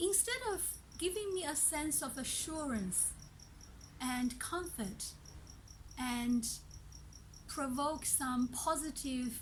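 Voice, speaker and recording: Speaking at a very slow pace with long, frequent pauses, a woman uses a high voice and lively intonation in a room with audible echo. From China. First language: not English (Chinese dialect; Mandarin third language). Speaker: language teacher. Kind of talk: tutorial.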